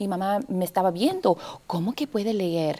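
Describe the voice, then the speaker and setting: Her pitch moves up and down in an ordinary way. The woman talks at a moderate pace. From US South, Texas (McAllen, Rio Grande Valley); Texas. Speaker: actress and arts education coordinator; interview guest, arts educator. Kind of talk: TV interview. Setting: TV studio. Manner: halting, many fillers. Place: studio. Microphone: lapel.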